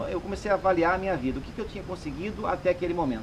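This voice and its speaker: Noticeable background noise sits behind the voice. A man with a high pitch talks at a very fast pace. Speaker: salesman and sales trainer. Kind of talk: casual interview chat, personal story.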